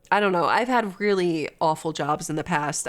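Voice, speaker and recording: Captured on a very clean recording against a silent background, she talks at a moderate pace. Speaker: vtuber streamer. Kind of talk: casual livestream chat. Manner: straining to talk.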